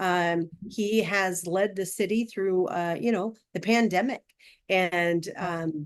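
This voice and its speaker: A woman's medium-pitched voice with an American accent, very slow in pace and fairly even in intonation. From Arizona, Scottsdale. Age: 60s. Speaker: city council candidate. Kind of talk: campaign speech. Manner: hesitant, many fillers.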